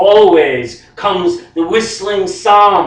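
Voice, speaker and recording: A man talking at a very slow pace over noticeable background noise. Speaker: poet. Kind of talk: poetry reading.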